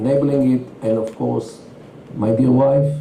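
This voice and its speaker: Amid noticeable background noise and audible room echo, a man speaks at a medium pitch with fairly even intonation. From Israel, Tel Aviv. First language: Yiddish. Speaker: Middle East expert. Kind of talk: interview. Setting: stage with audience.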